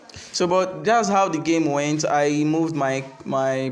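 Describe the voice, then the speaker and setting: A man speaks at a very slow pace with audible room echo. Music plays in the background. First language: not English. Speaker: chess teacher. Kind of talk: game review. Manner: halting.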